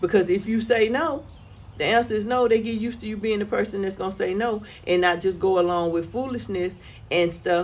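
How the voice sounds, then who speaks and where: With a normal speaking voice, a woman talks at a moderate pace and medium pitch with lively intonation. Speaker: lifestyle vlogger. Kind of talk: casual monologue vlog. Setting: outdoors on front porch.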